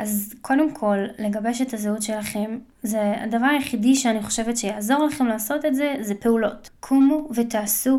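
At a moderate pace, a woman speaks with a fairly high pitch, fairly even intonation and a dark, mellow tone. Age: 20s. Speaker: podcast host. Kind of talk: solo monologue. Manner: casual, with frequent fillers.

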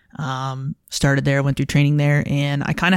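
A woman talks at a moderate pace in an American accent, on a very clean recording with a silent background. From Buffalo, New York. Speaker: police officer and canine handler. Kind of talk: casual interview.

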